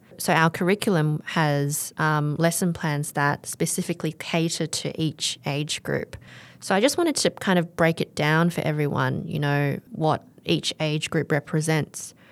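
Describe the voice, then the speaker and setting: With an Australian accent, a woman talks at a very deep, low pitch and with fairly even intonation. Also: fairly slow pace, very clean recording, silent background. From Australia, Melbourne. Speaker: English curriculum developer and teacher. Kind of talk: interview.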